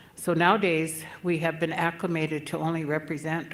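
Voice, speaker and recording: There is noticeable background noise and audible room echo. A woman speaks with a very deep, low pitch. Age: 70s. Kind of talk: conference speech.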